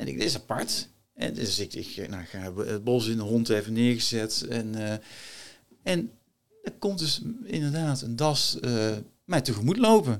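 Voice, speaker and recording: Speaking at a fairly slow pace with long, frequent pauses, a man uses lively intonation at a medium pitch. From Netherlands, North Brabant. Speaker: former marine officer, entrepreneur and author. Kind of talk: interview conversation. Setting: studio.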